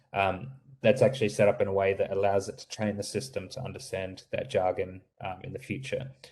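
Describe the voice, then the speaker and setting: A man with an American accent speaks at a moderate pace in a fairly low pitch. His somewhat breathy voice keeps a fairly even intonation. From Australia. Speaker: startup founder presenting voice software. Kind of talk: webinar Q&A answer. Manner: halting, many fillers and repetitions.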